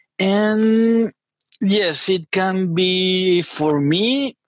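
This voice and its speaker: With a Spanish accent, a man speaks in a dry, close recording with no echo. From Venezuela. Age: 30s. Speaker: software engineer. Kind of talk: interview conversation.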